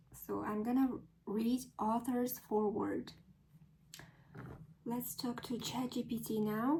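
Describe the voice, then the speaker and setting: A woman with an American accent speaks at a very slow pace and a fairly high pitch, with fairly even intonation, long and frequent pauses, and noticeable background noise. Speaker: English learner practicing accent. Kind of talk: reading aloud. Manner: deliberate, careful pronunciation.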